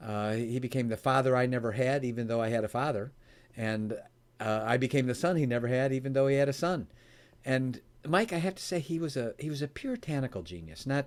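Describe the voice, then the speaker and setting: Speaking at a fairly quick pace, a man with an American accent keeps a medium pitch and ordinary pitch variation. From US Midwest, Chicago area. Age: 60s. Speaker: author and speaker on giving. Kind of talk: interview. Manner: animated storytelling.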